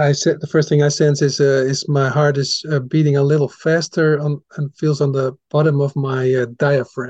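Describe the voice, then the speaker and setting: A fairly high, somewhat breathy male voice in a Dutch accent, flat and monotone, at a moderate pace with hardly any pauses, in a dry, close sound with no echo. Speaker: podcast host. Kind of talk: interview. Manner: halting.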